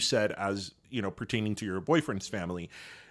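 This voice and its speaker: In a very clean recording with a silent background, a man speaks with a Miami accent. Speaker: podcast co-host. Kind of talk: casual chat.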